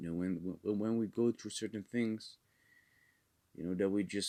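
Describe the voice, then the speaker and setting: A man with a Dutch accent speaks at a fairly low pitch. The recording is very clean, with a silent background and a dry, close sound with no echo. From Netherlands. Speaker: preacher. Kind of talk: sermon.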